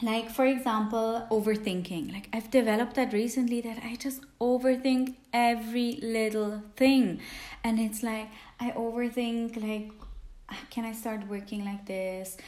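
Over noticeable background noise, a woman with a fairly high voice talks at a fairly slow pace in a monotone, flat delivery. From Switzerland. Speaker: podcast host. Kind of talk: casual self-help monologue. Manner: hesitant, with many fillers.

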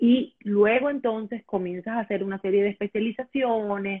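In a plain, everyday voice, a woman with a medium pitch and ordinary pitch variation talks at a moderate pace. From Venezuela. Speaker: sexologist. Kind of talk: interview.

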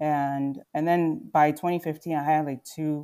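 In a Mid-Atlantic accent, a woman speaks with a very deep, low pitch and dark, mellow tone, monotone and flat at a moderate pace, in a very clean recording with a silent background. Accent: American, Mid-Atlantic. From Philadelphia suburbs, Pennsylvania (born in Nigeria, moved at six). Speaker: fashion brand founder. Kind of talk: interview.

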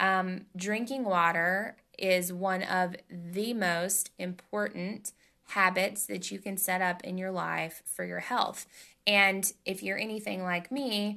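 Against a quiet background, a woman in a Southern US accent talks with a bright, sharp tone and fairly even intonation. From Tennessee. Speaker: podcast host. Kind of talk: casual solo talk.

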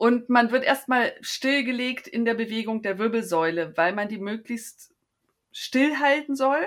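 A woman with a normal speaking voice and a fairly high pitch moves at a fairly slow pace, her pitch varying in an ordinary way. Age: 50s. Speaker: endometriosis patient. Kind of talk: interview.

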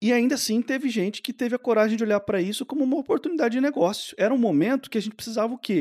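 A man at a very fast pace, dry and close with no echo, on a very clean recording with a silent background. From Brazil. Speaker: podcast host. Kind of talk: casual chat.

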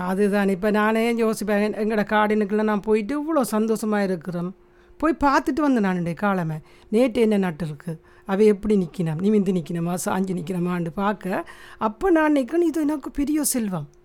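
A woman with an ordinary speaking voice uses a medium pitch and lively intonation. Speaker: podcast co-host, mother. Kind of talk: casual chat.

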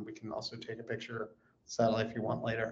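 A man with an American accent talks fairly quickly at a medium pitch. His voice is somewhat breathy. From California. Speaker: space company executive. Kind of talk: interview.

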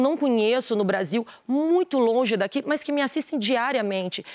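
This woman's pitch is high and her intonation lively. She keeps a moderate pace. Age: 40s. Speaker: businesswoman and influencer. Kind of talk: TV interview. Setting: TV studio.

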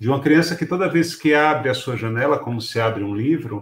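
A man's voice comes across as somewhat breathy, with ordinary pitch variation. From Pernambuco, Brazil. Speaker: writer and teacher. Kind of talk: talk to educators.

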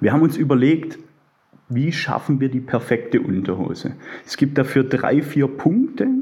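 Through noticeable background noise, a man speaks at a fairly slow pace in a fairly high pitch. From Swabia, near Stuttgart. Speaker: bank client advisor and underwear label founder. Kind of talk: interview.

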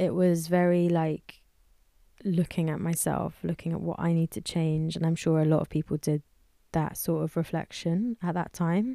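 With a London accent, a woman talks at a moderate pace and fairly low pitch, her intonation fairly even. Her tone is dark and mellow, and the sound is dry and close with no echo. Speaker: musician. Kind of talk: interview conversation. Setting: studio.

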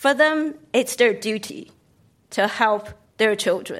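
A woman with a Chinese accent speaks very slowly in a high pitch. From China, Beijing. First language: Mandarin Chinese. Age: 50s. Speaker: novelist and former business professor. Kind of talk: panel discussion. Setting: stage with audience.

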